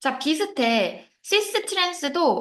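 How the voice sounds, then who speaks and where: A woman's voice swings very widely in pitch. The background is quiet. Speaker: chemistry teacher. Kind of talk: lecture. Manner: soft-spoken.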